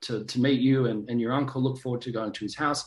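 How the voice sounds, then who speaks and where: Here a man speaks at a medium pitch and a very fast pace. His intonation is monotone and flat. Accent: Australian. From Australia (Sydney). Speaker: actor and director. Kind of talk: casual interview.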